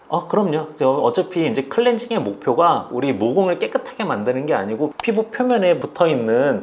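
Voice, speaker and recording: Fairly quick delivery marked by very wide pitch swings. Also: man. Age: 40s. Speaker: dermatologist. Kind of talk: interview. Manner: hesitant fillers.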